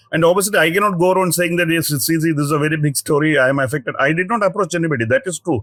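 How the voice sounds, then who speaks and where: A man's fairly high voice in a South Indian accent, at a very fast pace, with a dry, close sound and no echo. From Kerala, South India. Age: 50s. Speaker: senior journalist. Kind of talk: interview. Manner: halting.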